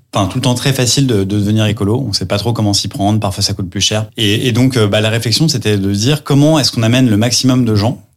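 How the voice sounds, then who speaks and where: At a fairly quick pace, a man speaks in a fairly low voice with ordinary pitch variation. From France, Lyon. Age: 30s. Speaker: entrepreneur. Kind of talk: interview. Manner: hesitant with fillers.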